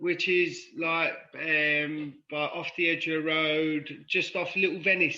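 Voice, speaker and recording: In a London accent, a man talks at high pitch with a bright, sharp tone, monotone and flat, at a very slow pace with hardly any pauses. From London (Paddington), born in Cork, Ireland. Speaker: podcast guest in recovery from addiction. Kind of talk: casual chat.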